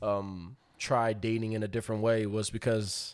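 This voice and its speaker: With an American accent, a man's voice comes through a very clean recording against a silent background. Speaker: podcast guest. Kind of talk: casual chat. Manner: laughs often.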